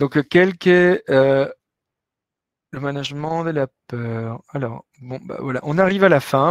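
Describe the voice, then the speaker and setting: A man speaks at a fairly high pitch in a Latin American Spanish accent. The sound is dry and close, with no echo. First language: Spanish (speaking French). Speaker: business professor. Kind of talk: webinar lecture with Q&A. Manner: hesitant, many fillers.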